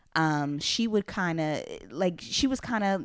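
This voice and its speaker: A woman with an ordinary speaking voice has a fairly low pitch and lively intonation. The recording is very clean, with a silent background. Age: 20s. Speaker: podcast host. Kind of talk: casual chat.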